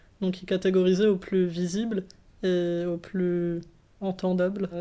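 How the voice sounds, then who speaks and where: A woman's medium-pitched voice with a dark, mellow tone, in a very clean recording with a silent background. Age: 20s. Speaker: philosophy student. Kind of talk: interview. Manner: calm, measured; hesitant.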